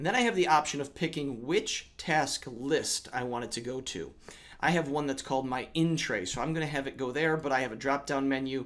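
The speaker keeps a moderate pace with ordinary pitch variation. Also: man. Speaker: educator making tech tutorials. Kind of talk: tutorial.

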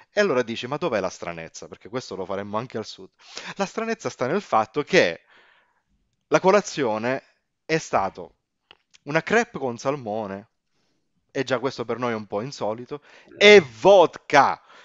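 Big swings in loudness and very wide pitch swings mark this man's speech, which moves at a moderate pace with long, frequent pauses. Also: medium pitch for a man. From Sicily (Pozzallo, Ragusa). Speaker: language teacher and corporate trainer. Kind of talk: casual interview chat.

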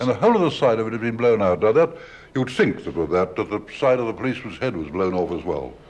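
A man at medium pitch, very fast, with lively intonation. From British. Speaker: radio broadcaster. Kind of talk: radio documentary presenting. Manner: old-school. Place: hall. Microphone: old recording.

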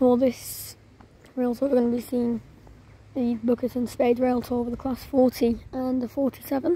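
A woman's high-pitched, monotone voice with flat intonation, in a dry recording with no echo. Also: moderate pace. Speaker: trainspotter vlogger. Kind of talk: casual commentary. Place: station. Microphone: phone near.

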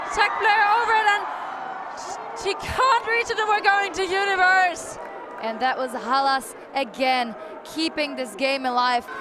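A woman speaks at an extremely high pitch in a raised, projected voice. Crowd noise fills the background. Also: fairly slow pace. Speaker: sports commentator. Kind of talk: live sports commentary.

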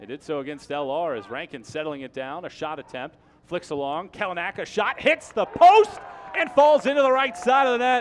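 A man speaks in a high voice at a moderate pace, with an animated tone and very wide pitch swings. His loudness swings a lot, and background noise is noticeable. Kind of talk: live sports commentary, play-by-play highlights. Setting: broadcast, game audio. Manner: animated, rising energy on goals and near misses.

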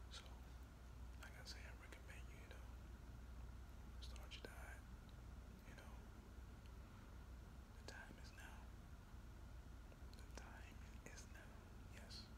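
Loud background noise sits behind a man speaking at a fairly slow pace. His speech has long, frequent pauses. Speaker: motivational vlogger. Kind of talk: motivational talk to camera. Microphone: phone near.

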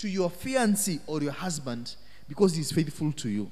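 This man's high voice has a dark, mellow tone. His pitch swings very widely. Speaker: minister. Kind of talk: teaching / Bible study talk. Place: church. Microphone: handheld.

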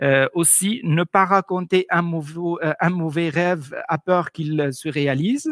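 This man speaks with an Arabic accent at a fairly slow pace and a high pitch. His pitch varies in an ordinary way, and the background is quiet. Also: dry sound with no echo. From Tunisia. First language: Arabic (speaking French). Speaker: cultural presenter; presenter. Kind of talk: presentation. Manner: halting, many hesitations.

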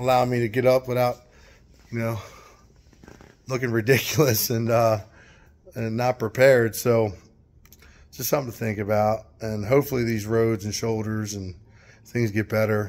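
A man talks at a moderate pace, stopping often for long pauses. His intonation is monotone and flat. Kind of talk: casual vlog chat. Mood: relaxed, amused. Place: garage. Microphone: phone near.

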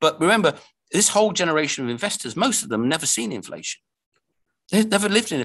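A man with an English accent talks at a high pitch and a very fast pace. His pitch swings very widely against a quiet background. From England. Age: 50s. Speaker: investment commentator. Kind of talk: casual chat. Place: home room. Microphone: video call.

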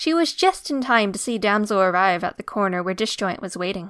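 A dramatic tone and lively intonation on a very clean recording with a silent background. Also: woman. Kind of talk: scripted narration. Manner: dramatic, tense action narration with character voices.

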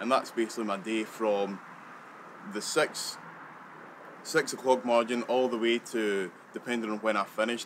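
Over noticeable background noise, a man with a west central Scottish accent talks at a moderate pace with fairly even intonation. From Scotland. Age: young. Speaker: delivery driver. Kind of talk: personal account of daily routine. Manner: halting. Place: open country.

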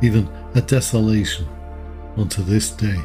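A fairly slow pace over music in the background. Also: man. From Liverpool, England. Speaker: podcast Bible reader. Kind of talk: sleep scripture reading. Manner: calm, soothing.

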